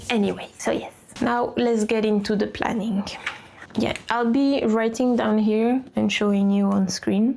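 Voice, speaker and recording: A woman with a French accent speaks at a fairly high pitch. Her tone is dark and mellow, her pace fairly slow. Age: 20s. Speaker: lifestyle vlogger. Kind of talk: casual planning vlog talk.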